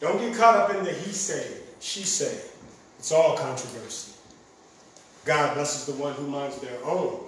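Over noticeable background noise, a man with a fairly high pitch talks at a fairly slow pace, using lively intonation and long, frequent pauses. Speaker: spoken word poet, competitor. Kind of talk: spoken word poetry performance. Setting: stage with audience. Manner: rhythmic, rousing.

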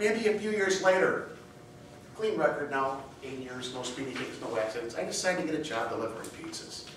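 A man's voice with very wide pitch swings, noticeable background noise and audible room echo. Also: fairly high pitch for a man, fairly quick pace. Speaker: contest speaker. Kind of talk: humorous speech. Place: hall. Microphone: camera far.

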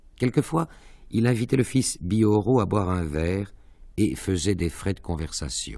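Lively intonation runs through a man's fairly slow speech, his fairly low pitch and dark, mellow tone set against a quiet background. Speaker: actor reading aloud. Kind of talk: literary audiobook reading, measured narration of prose with a dreamlike, evocative pace; literary reading. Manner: slow, measured, formal, expressive.

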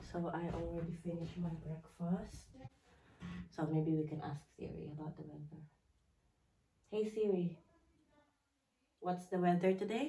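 At a moderate pace, a woman with a dark, mellow tone and a somewhat breathy voice keeps fairly even intonation, pausing long and often amid audible room echo. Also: fairly low pitch for a woman. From Philippines. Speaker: vlogger. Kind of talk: casual vlog chat. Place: home room. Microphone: phone near.

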